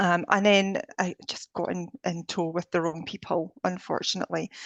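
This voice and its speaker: A woman with a Scottish accent, a fairly low voice and fairly even intonation in a dry, close sound with no echo. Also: moderate pace. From Scotland. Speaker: energy healer and life coach. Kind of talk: interview conversation.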